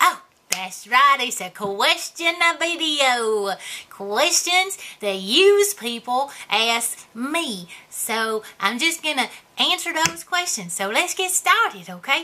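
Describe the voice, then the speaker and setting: In a put-on character voice, a woman speaks high and fairly slowly, her pitch swinging very widely. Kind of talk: character comedy Q&A to camera.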